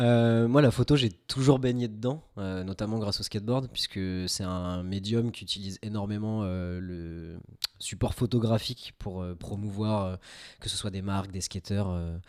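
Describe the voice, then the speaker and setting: An ordinary speaking voice at a fairly slow pace, with ordinary pitch variation, in a very clean recording with a silent background. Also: man, fairly low pitch for a man. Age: 20s. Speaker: amateur film photographer, web developer. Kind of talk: casual podcast conversation. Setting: home podcast setup.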